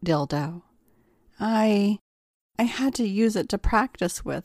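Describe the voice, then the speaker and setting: A put-on character voice sounds strained and moves at a fairly slow pace. The recording is very clean, with a silent background. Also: woman, medium pitch for a woman. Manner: plain, restrained.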